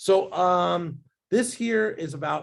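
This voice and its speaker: Somewhat breathy, a man speaks in an animated tone with very wide pitch swings. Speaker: business growth speaker and author. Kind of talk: webinar presentation. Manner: fast.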